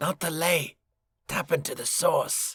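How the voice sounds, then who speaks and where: In a put-on character voice, a man speaks high, raspy and creaky. His pace is fairly slow. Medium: read story.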